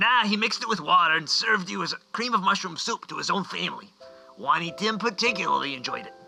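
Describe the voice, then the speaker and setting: Faint music plays in the background as a man in a put-on character voice talks at a very fast pace and a high pitch. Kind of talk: comic overacting. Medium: audio drama. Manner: wisecracking, rude.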